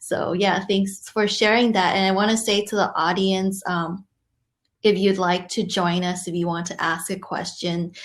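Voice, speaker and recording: A woman with a Cantonese accent speaks at a medium pitch and moderate pace. Her intonation is flat and monotone, and the recording is very clean with a silent background. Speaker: conversation host. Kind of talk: hosting a live virtual chat. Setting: virtual session.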